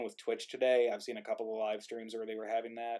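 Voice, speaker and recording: A mumbling man at a fairly quick pace, medium in pitch. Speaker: playwright and livestream organizer. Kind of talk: casual chat.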